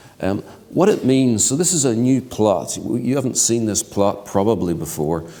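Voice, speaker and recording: A man's medium-pitched voice with lively intonation, a dark, mellow tone, a moderate pace and audible room echo. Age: 60s. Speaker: keynote speaker, genomics researcher. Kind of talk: lecture.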